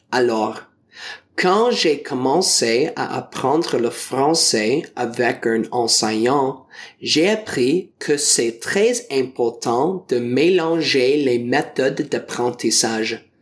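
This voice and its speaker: With an English accent, a man talks at a very slow pace. His pitch is medium and his intonation lively. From Ontario, Canada. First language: English (speaking French). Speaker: teacher and French learner. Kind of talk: prepared talk for learners. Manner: careful learner pace.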